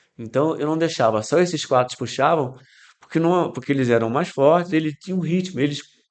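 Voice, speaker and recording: Here is a man with an unremarkable speaking voice, fairly high in pitch. He talks at a fairly quick pace with ordinary pitch variation. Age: 60s. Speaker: amateur cyclist. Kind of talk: podcast interview.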